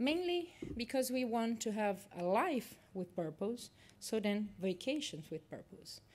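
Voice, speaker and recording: With a Portuguese accent, a woman talks in a fairly high pitch that swings very widely. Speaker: university lecturer. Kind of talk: conference presentation. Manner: halting, many fillers.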